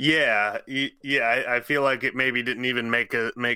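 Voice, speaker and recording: On a very clean recording with a silent background, a man speaks at a moderate pace in a bright, sharp tone. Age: 30s. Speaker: podcast host. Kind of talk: casual chat; reading aloud.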